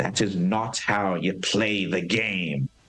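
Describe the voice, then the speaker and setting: A man's growling, put-on character voice, very deep and low in pitch, at a very slow pace. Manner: angry, indignant.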